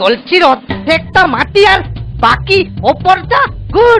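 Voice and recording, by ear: In a cartoonish character voice, the speaker goes at a slow pace with big pitch swings and a fairly bright tone while faint music plays in the background.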